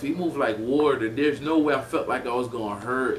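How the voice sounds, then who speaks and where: Ordinary pitch variation in a man's speech, along with noticeable background noise and audible room echo. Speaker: MMA fighter. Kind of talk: casual interview chat.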